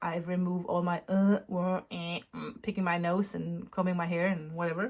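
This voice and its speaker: A woman with a non-native accent, fairly low in pitch, flat and monotone, at a moderate pace. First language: not English. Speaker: knitwear designer and yarn dyer vlogger. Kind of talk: casual vlog. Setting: at home. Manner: halting.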